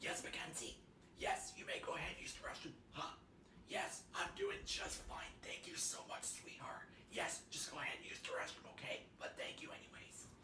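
In a put-on character voice, someone whispers at a moderate pace, hoarse and strained. Background noise is clearly present. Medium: voice reel. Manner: soft, raspy, can't raise voice.

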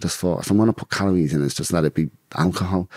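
Very deep, low male voice with a northern English accent against a quiet background. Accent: mild Geordie-tinged northern English. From northern England. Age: 30s. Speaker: bare-knuckle fighter; podcast guest. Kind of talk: casual interview about life story. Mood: relaxed, candid, amused. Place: home room. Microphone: studio mic.

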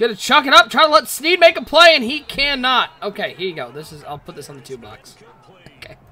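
A man's extremely high, raised and projected voice, very fast and animated, with very wide pitch swings and big shifts in loudness. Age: 30s. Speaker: esports game commentator. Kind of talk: live commentary. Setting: live stream.

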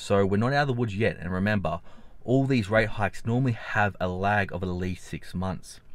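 A man with an Australian accent talks at a fairly quick pace in a fairly low pitch, the sound dry with no echo. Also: ordinary pitch variation. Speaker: finance YouTuber. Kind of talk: vlog commentary; casual vlog chat. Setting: outdoors. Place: car. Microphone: phone near.

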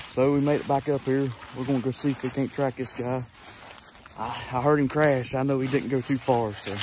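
Monotone, flat delivery from a man at a fairly quick pace, dry with no echo, amid noticeable background noise. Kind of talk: casual vlog chat.

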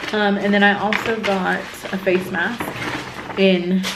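A woman's monotone, flat delivery over noticeable background noise. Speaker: vlogger. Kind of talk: casual vlog chat. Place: home room. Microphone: phone near.

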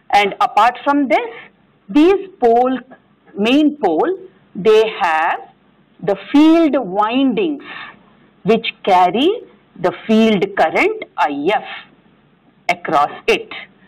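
Against a quiet background, a woman speaks very slowly with long, frequent pauses, her high pitch moving in very wide swings. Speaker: engineering lecturer. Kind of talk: lecture. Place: classroom.

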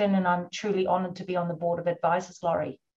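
Somewhat breathy and in a New Zealand accent, the voice races at a very fast pace with monotone, flat intonation. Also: woman. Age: 50s. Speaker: orca researcher. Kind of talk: webinar interview.

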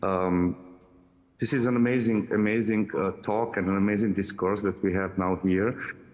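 Against a quiet background, a man with an unremarkable speaking voice and a fairly low pitch speaks at a moderate pace with fairly even intonation and very even loudness. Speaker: audience participant; remote panel participant. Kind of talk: audience comment. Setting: video call. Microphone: video call.

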